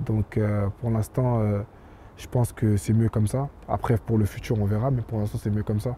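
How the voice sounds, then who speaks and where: A man with a fairly low, dark, mellow, somewhat breathy voice speaks at a moderate pace in a monotone, flat way, the sound dry with no echo and light background noise. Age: 20s. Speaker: professional footballer; interviewee. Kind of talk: interview. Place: stadium. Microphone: handheld.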